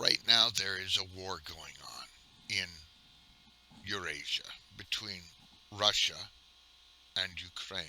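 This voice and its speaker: This man talks at a very slow pace in an American accent, with long, frequent pauses. His loudness swings widely, and there is noticeable background noise. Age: 60s. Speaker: retired gamer vlogger. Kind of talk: casual monologue. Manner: halting.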